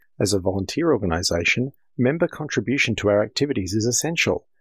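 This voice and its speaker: Talking at a very fast pace, a man has an Australian accent and lively intonation. His voice is somewhat breathy, and the recording is very clean, with a silent background. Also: dry, close sound with no echo. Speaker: amateur radio association director. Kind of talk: scripted news segment.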